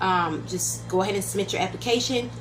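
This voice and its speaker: A woman speaks at a fairly quick pace, her words carrying audible room echo amid noticeable background noise. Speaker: YouTube political commentator. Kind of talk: casual vlog commentary. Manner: fast.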